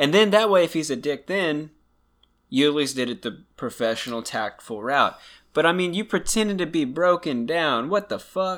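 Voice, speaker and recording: On a very clean recording with a silent background, a man uses an ordinary speaking voice at a fairly high pitch, with lively intonation at a moderate pace. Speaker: true crime podcast co-host. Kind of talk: casual podcast chat. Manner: casual, joking, sarcastic.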